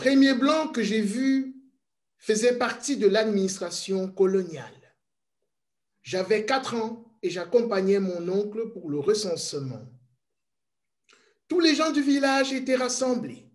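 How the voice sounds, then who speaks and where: A man with a high voice speaks very slowly and with lively intonation, leaving long, frequent pauses, and there is audible room echo. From Congo, Kasaï. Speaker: witness of colonial era. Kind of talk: testimony.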